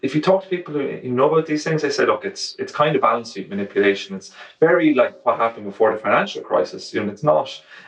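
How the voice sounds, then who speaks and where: A man's very fast speech with an Irish accent and hardly any pauses. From Ireland. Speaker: journalist. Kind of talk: book festival interview. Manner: fast, with false starts.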